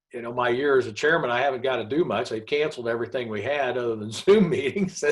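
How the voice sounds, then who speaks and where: With an American accent, a man talks at a very fast pace, medium pitch and ordinary pitch variation. Noticeable background noise runs underneath. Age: 60s. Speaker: trucking company owner. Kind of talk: casual chat.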